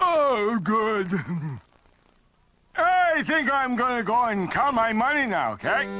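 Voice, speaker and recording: A cartoonish character voice, fairly high in pitch, at a fairly slow pace with long, frequent pauses. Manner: slow, dopey.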